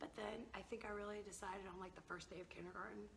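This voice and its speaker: An American accent comes through in a bright, sharp tone with vocal fry. The pace is fairly quick, and room echo is audible. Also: woman. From US South, Georgia (rural). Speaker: language teacher, founder of a teaching project. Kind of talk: interview. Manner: casual.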